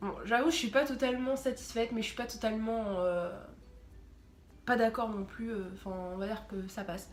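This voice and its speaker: In a room with audible echo, a woman with a fairly high pitch speaks at a moderate pace with ordinary pitch variation and long, frequent pauses. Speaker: YouTuber. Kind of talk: casual vlog.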